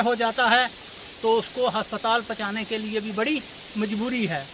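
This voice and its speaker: This man's voice sits high in pitch, with fairly even intonation. Noticeable background noise can be heard. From Poonch, Jammu and Kashmir. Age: 60s. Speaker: villager. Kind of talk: street interview. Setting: outdoors.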